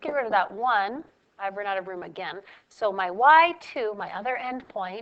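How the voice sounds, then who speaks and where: In a plain, everyday voice, a woman of medium pitch speaks at a moderate pace with lively intonation and big swings in loudness. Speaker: math teacher. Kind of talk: tutorial. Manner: casual.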